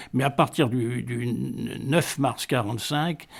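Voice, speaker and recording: Vocal fry runs through speech at a very slow pace with ordinary pitch variation. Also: man. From Vietnam (Hanoi), French colonial family. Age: 80s+. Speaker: retiree recounting life story. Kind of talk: radio interview. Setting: at home. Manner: hesitant, many fillers.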